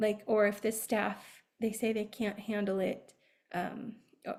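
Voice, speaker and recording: Somewhat breathy and dark, mellow in tone, a woman's voice moves at a fairly slow pace. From Arizona, US Southwest. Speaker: behavior analyst and Montessori educator. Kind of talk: webinar presentation. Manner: hesitant, many fillers.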